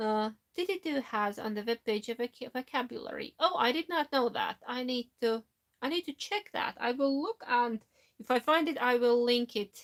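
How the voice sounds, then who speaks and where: Lively intonation in a non-native accent, moderate pace, dry and close sound with no echo. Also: woman, high pitch for a woman. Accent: foreign accent in Finnish and English. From Latvia. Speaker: knitting YouTuber. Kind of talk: live stream chat reading comments. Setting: live stream from home. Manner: halting.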